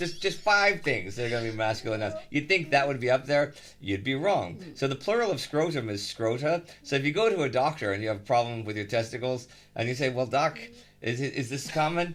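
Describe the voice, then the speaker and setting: Speaking with an American accent, a man with an unremarkable speaking voice and medium pitch moves at a fairly quick pace with lively intonation. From Texas, Houston. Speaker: podcast host, baseball historian. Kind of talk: casual chat.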